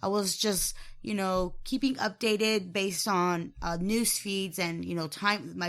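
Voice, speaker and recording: This is an ordinary speaking voice, a woman at medium pitch and moderate pace. The recording is very clean with a silent background. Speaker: podcast co-host. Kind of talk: casual sports chat.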